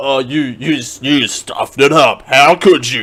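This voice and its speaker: Putting on a raspy character voice, a man talks fairly slowly at a fairly high pitch. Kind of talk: dramatic announcer. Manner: movie trailer voice.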